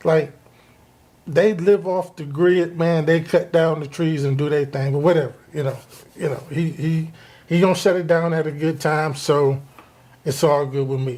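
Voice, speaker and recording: A man's fairly high-pitched, unremarkable speaking voice at a moderate pace. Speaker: podcast host. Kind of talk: casual podcast talk. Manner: upbeat, conversational.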